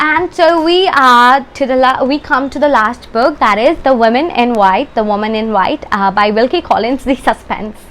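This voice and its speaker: Noticeable background noise surrounds a woman whose high voice has lively intonation. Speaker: book youtuber. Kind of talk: casual book review vlog. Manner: halting, many fillers and restarts.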